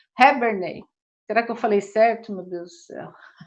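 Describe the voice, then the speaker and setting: The background stays quiet. Her intonation fairly even, a woman talks at a moderate pace. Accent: São Paulo. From São Paulo, Brazil. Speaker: union representative, live host. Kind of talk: live panel discussion. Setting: online live stream.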